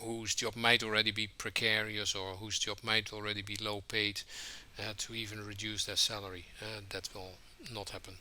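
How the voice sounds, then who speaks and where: Delivering in a Dutch accent, a man speaks with a fairly low pitch and a bright, sharp tone. His intonation is monotone and flat, at a moderate pace. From Netherlands. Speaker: trade union leader. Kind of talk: podcast interview. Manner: hesitant, many filler words.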